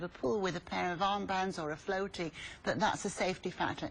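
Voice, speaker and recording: With a British accent, a woman speaks at a moderate pace with lively intonation. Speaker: swim school founder. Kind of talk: tv interview.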